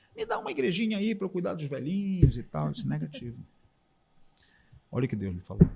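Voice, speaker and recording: A somewhat breathy, dark, mellow voice at a very fast pace, full of very wide pitch swings. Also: man. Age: 60s. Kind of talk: testimony.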